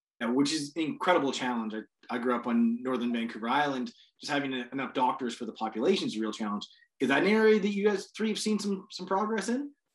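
Against a quiet background, a man with a fairly high pitch speaks very fast, his voice swinging very widely in pitch. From Canada, British Columbia. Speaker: panel moderator. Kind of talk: panel discussion. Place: home room. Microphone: video call.

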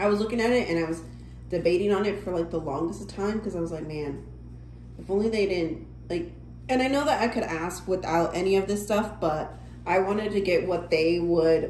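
At a fairly quick pace, a woman with a fairly low voice and ordinary pitch variation speaks in a room with audible echo and light background noise. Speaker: vlogger. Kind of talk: casual vlog chat. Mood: relaxed, mildly critical. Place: home room. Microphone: phone near.

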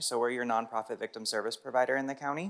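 A man at medium pitch talks at a very fast pace with ordinary pitch variation. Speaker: victim services supervisor, public commenter. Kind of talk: public comment at council meeting. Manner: many filler ums.

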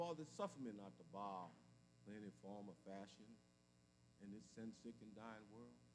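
A man talks fairly slowly, with light noise behind him. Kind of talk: spoken prayer. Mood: solemn, reverent. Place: church. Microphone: podium.

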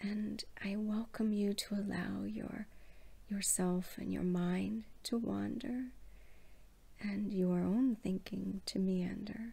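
A soft-spoken woman with a soothing tone. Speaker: relaxation video host. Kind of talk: soothing bedtime storytelling. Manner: soft-spoken, slow, soothing bedtime voice. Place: home room. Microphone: phone near.

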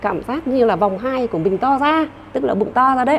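Moving at a moderate pace, a woman speaks at a high pitch with very wide pitch swings. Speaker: traditional medicine doctor; panelist. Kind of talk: panel discussion. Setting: studio. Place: hall. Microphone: handheld.

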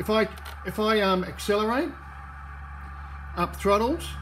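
A man's words come at a moderate pace amid noticeable background noise. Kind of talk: tutorial. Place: home room. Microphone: phone near.

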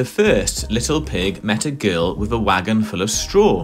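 The speaker reads aloud in a natural voice.

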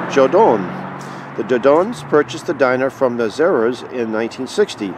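A man talks at a fairly quick pace in a dry sound with no echo, with noticeable background noise behind him. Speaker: diner patron or local narrator. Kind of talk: casual history commentary. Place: street. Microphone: phone near.

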